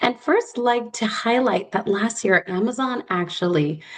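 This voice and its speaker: Intonation is lively and the pace fairly slow. Noticeable noise sits in the background. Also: woman. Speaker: corporate external relations lead. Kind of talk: webinar presentation.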